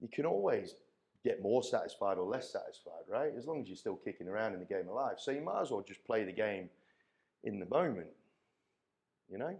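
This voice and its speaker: A man talks at a fairly quick pace. He takes long, frequent pauses. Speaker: coach, speaker, auctioneer. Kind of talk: keynote talk. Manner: engaging, energising.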